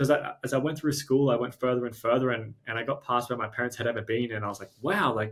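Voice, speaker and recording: A man with a strong Australian accent, somewhat breathy, at a very fast pace with ordinary pitch variation. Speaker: startup co-founder and CEO. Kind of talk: interview conversation. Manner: halting, many repeated words.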